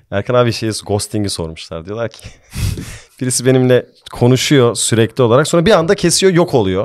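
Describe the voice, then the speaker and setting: Against a quiet background, the voice moves at a fairly quick pace with very wide pitch swings and big swings in loudness. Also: man, medium pitch for a man. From Austria. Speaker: podcast host. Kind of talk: casual chat. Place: studio. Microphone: studio mic.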